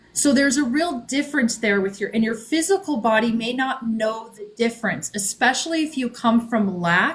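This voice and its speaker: A woman speaks in a plain, everyday voice, fairly high-pitched with lively intonation, keeping a moderate pace and hardly any pauses. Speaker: author and spiritual guide. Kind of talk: podcast interview. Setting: live stream.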